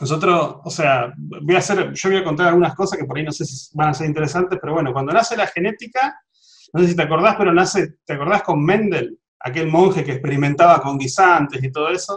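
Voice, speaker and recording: A man speaks in an Argentine accent. His pace is very fast, with ordinary pitch variation. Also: fairly high pitch for a man. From Argentina. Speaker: cardiologist, genetics specialist. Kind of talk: interview.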